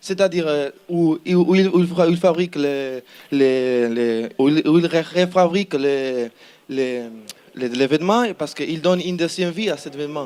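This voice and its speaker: Speaking with a Spanish accent, a man uses a fairly high pitch. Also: ordinary pitch variation, moderate pace. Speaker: student team member pitching a project. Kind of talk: project pitch presentation. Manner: halting, many repetitions and hesitations.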